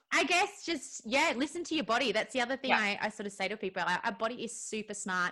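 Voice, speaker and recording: Barely pausing, a woman with an Australian accent speaks very fast at a fairly high pitch with lively intonation. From Melbourne, Australia. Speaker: Pilates instructor and nutritionist. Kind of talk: casual interview.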